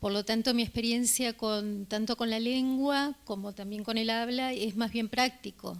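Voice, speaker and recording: The speaker goes at a fairly slow pace with hardly any pauses, in a Rioplatense accent and a monotone, flat intonation. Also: woman, fairly high pitch for a woman. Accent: Rioplatense (voseo, yeísmo). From Uruguay (Río de la Plata). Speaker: journalist, book presenter. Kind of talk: public talk. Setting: live event with audience. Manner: hesitant, many fillers.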